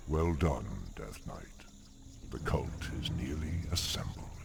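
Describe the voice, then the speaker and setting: A man speaks in a put-on character voice, his pitch very deep and low. The pace is fairly slow, with clear background noise. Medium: video game.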